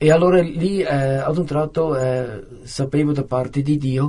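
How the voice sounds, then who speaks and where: Somewhat breathy, a man with a Swiss German accent speaks at a fairly high pitch with fairly even intonation. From German-speaking Switzerland, near Zurich. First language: Swiss German (speaking Italian). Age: 50s. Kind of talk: testimony. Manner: halting, many hesitations.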